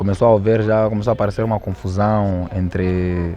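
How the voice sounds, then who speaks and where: A man with a Mozambican accent, very deep and low in pitch, monotone and flat, with music in the background. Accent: Quilimane (Zambézia) Mozambican Portuguese. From Mozambique, Quilimane (Zambézia). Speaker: rapper. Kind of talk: documentary interview.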